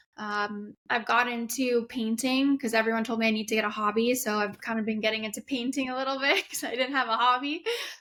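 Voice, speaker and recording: At a moderate pace, a woman with a fairly high, bright and sharp voice speaks with fairly even intonation in a very clean recording with a silent background. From Canada, Winnipeg. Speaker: race car driver. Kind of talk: interview.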